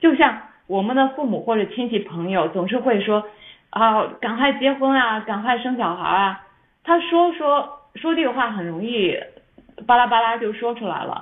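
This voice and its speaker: A woman with an unremarkable speaking voice talks at a moderate pace, using a fairly high pitch and lively intonation. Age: 40s. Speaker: YouTuber and former pastry chef. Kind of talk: casual chat.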